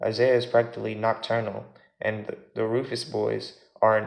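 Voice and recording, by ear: The text is read aloud in a natural voice.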